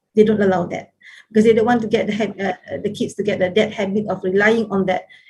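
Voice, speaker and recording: A woman's breathy-edged, medium-pitched voice, very fast and monotone with flat intonation. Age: 60s. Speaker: professor, conference speaker. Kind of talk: conference Q&A answer. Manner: hesitant, many fillers.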